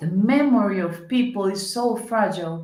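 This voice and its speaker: With a Colombian accent, a woman speaks at a medium pitch, and the room echo is audible. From Colombia, Cali. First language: Spanish. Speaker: senator. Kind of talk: interview conversation. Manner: halting, searching for English words.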